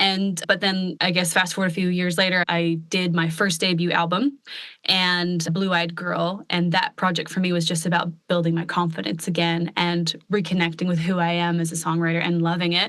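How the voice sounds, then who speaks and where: A woman with an American accent speaks in a fairly low, monotone, flat voice, with very even loudness and hardly any pauses. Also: moderate pace. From US Pacific Northwest, Portland, Oregon. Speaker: country pop singer-songwriter. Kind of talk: casual podcast interview.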